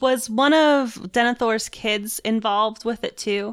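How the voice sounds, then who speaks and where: An unremarkable speaking voice from a woman with an American accent, fairly high pitch and lively intonation, in a very clean recording with a silent background. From Pittsburgh, US. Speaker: subreddit moderator, podcast co-host. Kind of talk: casual chat.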